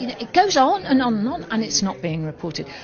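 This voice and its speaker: With noticeable background noise around her, a woman speaks in a British accent. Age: 60s. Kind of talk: interview. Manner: animated.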